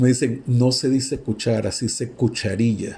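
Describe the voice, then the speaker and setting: A man in a Panamanian accent, medium pitch, animated tone, and fairly slow pace. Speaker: university lecturer. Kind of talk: lecture.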